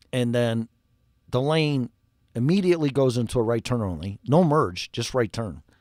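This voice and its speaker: Animated and with lively intonation, a man with a Chicago accent talks at a moderate pace and medium pitch, in a very clean recording with a silent background and a dry, close sound with no echo. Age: 60s. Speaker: refrigeration and HVAC technician. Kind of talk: casual livestream talk.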